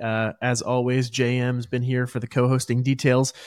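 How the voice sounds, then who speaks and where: An unremarkable speaking voice, a man's, comes through at a moderate pace and medium pitch on a very clean recording with a silent background. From USA. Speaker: podcast host. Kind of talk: casual interview; show outro.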